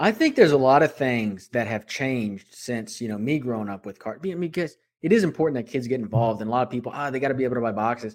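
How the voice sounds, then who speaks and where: A man's medium-pitched voice at a very fast pace, with hardly any pauses, ordinary pitch variation and big swings in loudness, in a very clean recording with a silent background. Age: 30s. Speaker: sports card podcast host. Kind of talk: casual chat.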